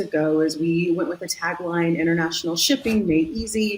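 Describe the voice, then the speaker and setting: The voice carries an American accent and lively intonation. Noticeable background noise runs underneath. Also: woman. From US West Coast, San Diego, California. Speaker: marketing executive. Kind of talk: interview.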